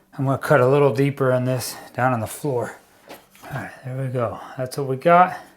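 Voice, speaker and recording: Moderately paced speech with fairly even intonation, set against noticeable background noise. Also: man, medium pitch for a man. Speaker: DIY home renovation youtuber. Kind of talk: tutorial. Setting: basement under construction. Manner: casual; loud.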